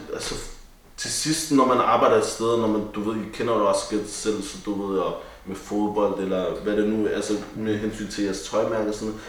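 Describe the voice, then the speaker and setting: A man's medium-pitched voice amid audible room echo and noticeable background noise. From Denmark, Copenhagen (Vesterbro). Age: 20s. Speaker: barber and barbershop owner. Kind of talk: casual chat.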